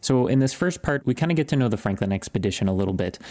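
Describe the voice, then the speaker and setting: A man is speaking. Music plays behind him. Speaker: podcast host. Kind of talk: casual chat. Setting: home office. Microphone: sounds different from usual studio recording.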